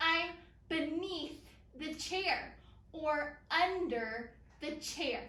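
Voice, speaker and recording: Raised and projected, a woman's extremely high voice has a bright, sharp tone and ordinary pitch variation, moving at a very slow pace with long, frequent pauses amid audible room echo. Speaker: elementary school teacher. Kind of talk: lesson for young children. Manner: loud; animated. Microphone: far from the camera.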